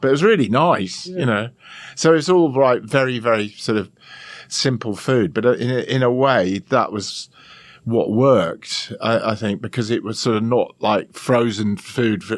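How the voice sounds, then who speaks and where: A man with an English accent, medium pitch and a fairly slow pace. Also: ordinary pitch variation. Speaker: chef and TV presenter. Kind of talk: podcast interview answer. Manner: calm, amused.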